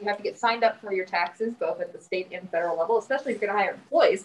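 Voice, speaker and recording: There is light background noise. A woman speaks at a very fast pace. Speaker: guest. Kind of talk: lecture. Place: meeting room.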